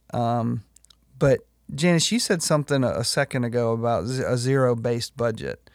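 A man with an ordinary speaking voice at medium pitch, ordinary pitch variation and a moderate pace, in a dry, close sound with no echo and a very clean recording with a silent background. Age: 40s. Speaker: pastor. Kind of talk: casual chat.

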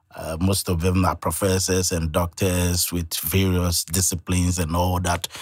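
In a Ghanaian accent, a man talks at a moderate pace with hardly any pauses. His very deep, low pitch stays in a monotone, flat intonation. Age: 40s. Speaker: Bible college student. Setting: radio studio.

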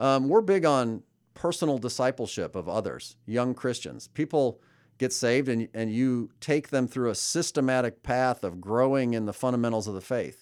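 A normal speaking voice with an American accent, moderate pace and ordinary pitch variation, on a very clean recording with a silent background. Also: man, medium pitch for a man. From US Midwest, suburbs of Chicago. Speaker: pastor. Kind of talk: casual interview.

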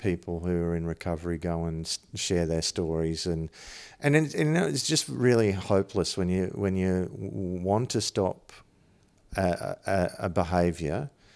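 The speaker has an Australian accent and lively intonation at a fairly slow pace. The recording is very clean, with a silent background. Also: man. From Toowoomba region, Queensland, Australia. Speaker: comedian. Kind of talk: casual chat.

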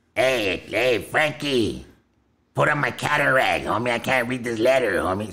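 A man puts on a character voice at a medium pitch, with ordinary pitch variation and a moderate pace. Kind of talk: casual street slang.

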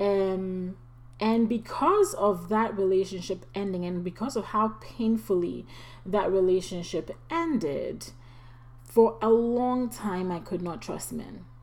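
Over noticeable background noise, a woman speaks at a very slow pace, with a medium pitch and lively intonation. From Ghana. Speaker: podcast host. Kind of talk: personal testimony and encouragement.

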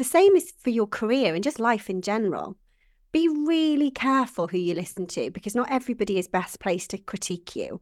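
A woman speaks with a Welsh accent and very wide pitch swings. The recording is very clean, with a silent background. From Wales. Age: 40s. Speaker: business founder. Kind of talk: interview.

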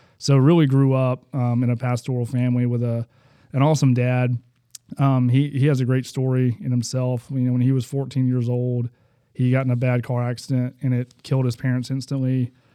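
This man talks at a fairly quick pace in a medium pitch, his intonation flat and monotone and his tone dark and mellow, with an Alabama accent. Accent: Southern US (Alabama). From US South, Huntsville, Alabama. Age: 30s. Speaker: basketball coach sharing testimony. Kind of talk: faith testimony interview.

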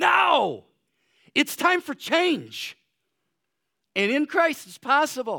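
In a very clean, dry, close recording with no echo and a silent background, a man with an extremely high pitch speaks in a raised, projected voice at a very slow pace, with lively intonation, big swings in loudness and long, frequent pauses. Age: 60s. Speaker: pastor. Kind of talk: sermon. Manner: hesitant, many fillers.

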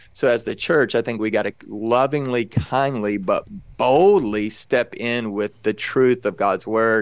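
On a very clean recording with a silent background, a man with a Texan accent speaks at a moderate pace, medium in pitch with ordinary pitch variation. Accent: Texan American English. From Texas. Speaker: pastor and evangelist. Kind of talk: casual interview.

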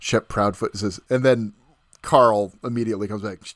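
On a very clean recording with a silent background, a man speaks in an unremarkable speaking voice, fairly low in pitch with ordinary pitch variation. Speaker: podcast co-host; teacher. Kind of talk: casual chat.

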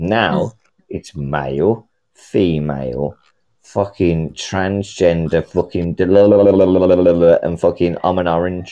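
In a British accent, a man speaks at a very slow pace. His pitch is very deep and low, and his intonation fairly even. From UK. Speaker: caller. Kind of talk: heated rant. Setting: call-in. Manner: loud.

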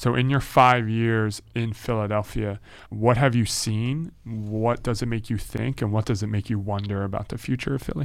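With a normal speaking voice, a man talks at a moderate pace with fairly even intonation and hardly any pauses. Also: medium pitch for a man. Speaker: podcast host. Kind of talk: casual chat.

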